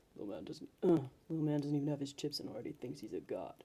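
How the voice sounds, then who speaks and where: A rumbling put-on character voice sits at a low-to-middle pitch. It races along at a very fast pace. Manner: menacing.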